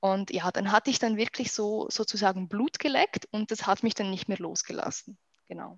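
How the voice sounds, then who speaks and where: Her voice sits fairly high, and a woman talks at a moderate speed with ordinary pitch movement. The audio is close and dry, without any echo. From Switzerland. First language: Swiss German (speaking German). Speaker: wedding photographer. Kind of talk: casual interview. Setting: remote call.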